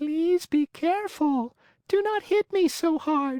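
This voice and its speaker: Someone puts on a squeaky, high-pitched character voice and delivers it at a fairly slow pace. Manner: beseeching.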